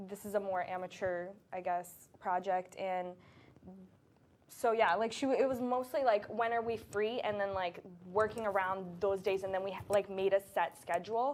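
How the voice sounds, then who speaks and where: At a moderate pace and a medium pitch, a woman talks in a plain, everyday voice. Her intonation stays fairly even. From US, Boston area, born in Brazil. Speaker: actor. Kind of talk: casual chat.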